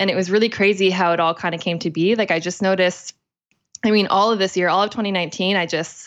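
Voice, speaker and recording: A woman talks very fast in an energetic tone, her loudness very even throughout. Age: 20s. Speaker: holistic nutritionist and eating coach. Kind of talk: casual interview. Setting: studio.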